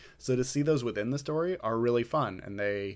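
At a moderate pace and with ordinary pitch variation, a man with an ordinary speaking voice is heard in a very clean recording with a silent background. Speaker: podcast host. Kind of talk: casual chat, Q&A.

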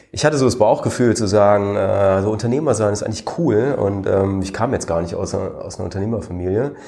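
A man with a dark, mellow tone talks at a fairly quick pace in a room with audible echo. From Germany. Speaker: serial founder and investor. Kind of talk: interview.

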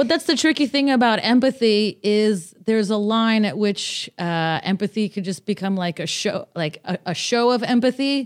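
A woman with an American accent speaks at a moderate pace, her fairly high pitch carried by lively intonation and hardly any pauses. The recording is very clean and dry, close with no echo, over a silent background. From Los Angeles, US. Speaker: stand-up comedian and art writer. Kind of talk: casual interview chat. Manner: animated, funny.

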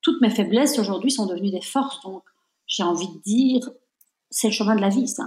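Lively in intonation and somewhat breathy, the voice moves at a fairly quick pace with big swings in loudness and long, frequent pauses. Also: woman, fairly high pitch for a woman. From Belgium. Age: 50s. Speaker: entrepreneur. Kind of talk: interview. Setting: remote recording.

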